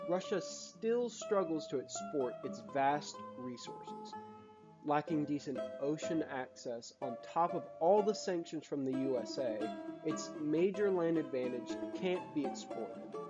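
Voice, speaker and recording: A fairly slow pace with music in the background. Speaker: history video creator. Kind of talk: educational history narration. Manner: casual, joking.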